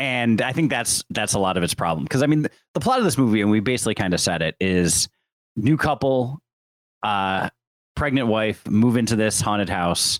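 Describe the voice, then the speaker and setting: In an American accent, a man with an unremarkable speaking voice talks at a fairly quick pace in a fairly low pitch with lively intonation, heard dry and close with no echo on a very clean recording against a silent background. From Syracuse, New York. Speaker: podcast co-host. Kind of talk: casual chat.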